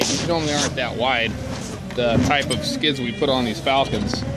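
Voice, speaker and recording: A man talks at a moderate pace. Music plays in the background, and the sound is dry with no echo. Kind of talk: casual vlog chat. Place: farm machine. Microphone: phone near.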